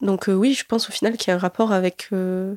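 A woman's medium-pitched voice comes through dry and close with no echo, flat and monotone at a moderate pace. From southern France, Alès (Gard). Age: 20s. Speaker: university student. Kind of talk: personal testimony interview. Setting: student dorm room. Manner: hesitant, many fillers.

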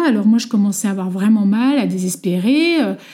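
This woman has a normal speaking voice pitched fairly high, with ordinary pitch variation. She talks at a fairly slow pace. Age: 40s. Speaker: mother sharing her story. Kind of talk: testimony.

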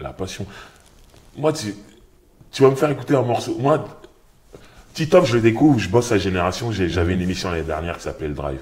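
A man with a fairly low voice and vocal fry talks at a very fast pace, with very wide pitch swings, big swings in loudness, and long, frequent pauses. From Paris suburbs (Sarcelles). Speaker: rapper and author. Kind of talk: casual interview. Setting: bookshop cultural space.

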